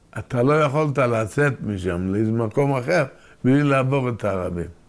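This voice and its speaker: Over a silent background in a very clean recording, a man at a medium pitch speaks at a fairly slow pace with lively intonation. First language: Yiddish (speaking Hebrew). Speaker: oral history interviewee. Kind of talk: oral history interview. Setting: at home, filmed interview. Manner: halting, with repetitions.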